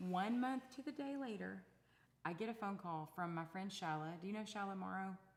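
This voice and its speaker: In an East Texas accent, a woman talks at a moderate pace. Her pitch is medium and her intonation lively. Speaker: singer-songwriter. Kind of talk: casual chat.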